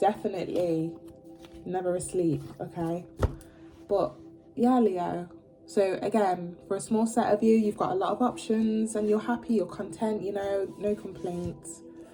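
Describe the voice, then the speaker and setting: There is noticeable background noise as a woman talks at a moderate pace and medium pitch. Her pitch varies in an ordinary way, and she leaves long, frequent pauses. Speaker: tarot reader. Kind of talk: tarot reading. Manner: casual, filler-heavy; stumbling over words.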